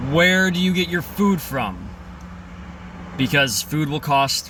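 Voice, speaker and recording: Noticeable background noise accompanies a man whose intonation is lively and whose pace is moderate. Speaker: vlogger. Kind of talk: casual vlog monologue. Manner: halting.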